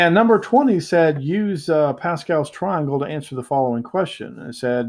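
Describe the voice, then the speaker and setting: Using lively intonation, a man talks in a fairly high voice. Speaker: math teacher. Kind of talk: lecture. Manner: fast; hesitant, many fillers.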